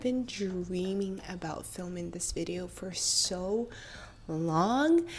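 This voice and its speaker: With music in the background, a woman talks at a very slow pace in a Russian accent. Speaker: vlogger, actress. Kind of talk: casual storytelling vlog.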